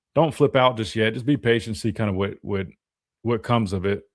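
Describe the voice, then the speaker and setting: Recorded very cleanly against a silent background, a man speaks fairly low in pitch with ordinary pitch variation. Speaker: sports talk host and former football linebacker. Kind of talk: live sports talk show. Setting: radio studio, live stream. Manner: fast; casual, filler-heavy.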